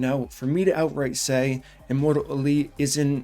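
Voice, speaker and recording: With music playing in the background, a man speaks at a moderate pace. His pitch is fairly high and his intonation fairly even. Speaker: gaming youtuber. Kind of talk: casual commentary video. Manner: loud.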